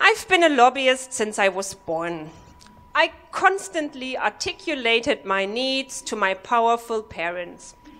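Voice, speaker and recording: A woman with a German accent speaks at a fairly slow pace and fairly high pitch. Her pitch swings very widely over noticeable background noise. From Germany. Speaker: comedy workshop participant. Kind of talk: stand-up. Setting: stage with audience.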